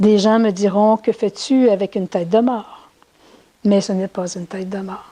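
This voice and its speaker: Her voice sits at a medium pitch, moving at a fairly slow pace with fairly even intonation. The woman's sound is dry and close, with no echo. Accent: Quebec. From Quebec. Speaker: spiritual teacher. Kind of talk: talk to an audience. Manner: halting.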